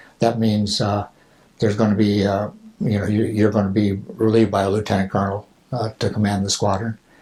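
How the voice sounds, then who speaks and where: Somewhat breathy with a dark, mellow tone, a man speaks at a fairly low pitch in a monotone, flat intonation. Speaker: Marine Corps veteran helicopter pilot. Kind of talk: oral history interview. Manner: halting, many fillers.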